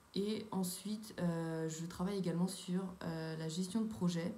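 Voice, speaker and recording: A fairly low-pitched, somewhat breathy woman's voice at a fairly slow pace, with audible room echo. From France, Sarthe (near Le Mans). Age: 20s. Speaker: civic service volunteer, student. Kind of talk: testimony. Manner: hesitant, many fillers.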